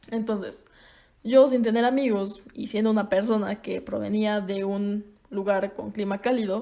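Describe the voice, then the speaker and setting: A dark, mellow tone in a Mexican accent, at a moderate pace with fairly even intonation. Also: woman. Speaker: podcaster. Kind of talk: casual monologue. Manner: conversational.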